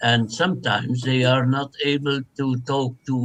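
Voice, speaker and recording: This is a man with a Flemish Belgian accent. His voice sits at a medium pitch. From Flanders, Belgium. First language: Dutch. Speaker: translation studies professor. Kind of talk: academic interview.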